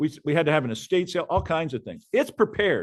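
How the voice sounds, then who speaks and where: A man talks at a very fast pace. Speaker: real estate coach. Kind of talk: coaching session.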